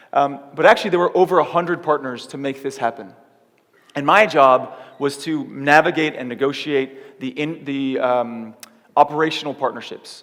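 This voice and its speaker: A man with a Californian accent speaks in an animated tone. His pitch sits fairly high, with ordinary variation. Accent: Californian American English. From California, US. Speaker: keynote speaker, tech company startup lead. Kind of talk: conference keynote talk. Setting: theater stage with audience. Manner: fast.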